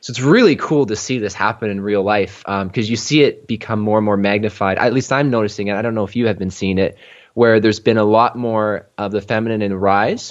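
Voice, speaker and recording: Against a quiet background, a man with a fairly low pitch and fairly even intonation speaks in an unremarkable speaking voice. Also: hardly any pauses. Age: 30s. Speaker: life and business coach. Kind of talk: podcast interview conversation.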